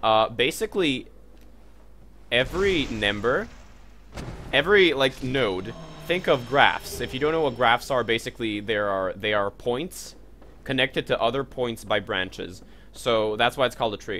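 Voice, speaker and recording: In an American accent, a man talks with an animated tone and lively intonation, broken by long, frequent pauses. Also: medium pitch for a man, moderate pace. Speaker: gaming streamer. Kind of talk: casual livestream commentary with explanation. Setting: livestream. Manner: animated, swears at game.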